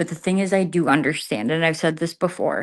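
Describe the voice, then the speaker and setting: Delivered at a fairly quick pace with ordinary pitch variation, the speech sits in a very clean recording with a silent background. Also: woman. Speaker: live streamer. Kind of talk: casual chat. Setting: livestream from an empty garage. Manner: trying to keep voice down.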